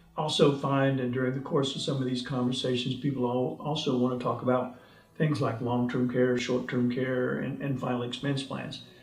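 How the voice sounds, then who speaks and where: A man talks in a recording marked by noticeable background noise and audible room echo. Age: 70s. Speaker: insurance agent. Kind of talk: sales pitch. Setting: self-recorded video.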